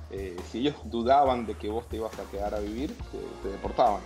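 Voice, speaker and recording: Clear music plays in the background as the speech moves at a fairly quick pace. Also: man. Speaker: guest. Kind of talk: interview answer. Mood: warm, reflective, some laughs. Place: office. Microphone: video call.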